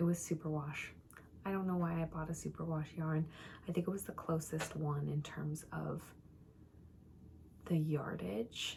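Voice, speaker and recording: A quiet woman speaks at a moderate pace with long, frequent pauses and a fairly even intonation. Her voice is very deep and low in pitch, and somewhat breathy. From Minnesota, St Paul. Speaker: knitting vlogger. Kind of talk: casual chat. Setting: at home.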